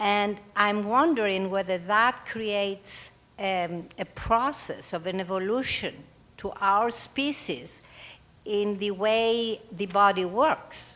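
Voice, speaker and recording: A woman with a non-native accent speaks at a very slow pace. Her tone is bright and sharp, with ordinary pitch variation. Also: medium pitch for a woman. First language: not English. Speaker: audience member. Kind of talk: audience question. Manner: halting.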